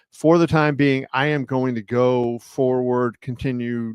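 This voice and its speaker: A man talks at a medium pitch. The sound is dry and close with no echo, and the background is quiet. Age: 60s. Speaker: combat sports journalist. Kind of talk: casual livestream chat. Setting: livestream. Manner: hesitant, many fillers.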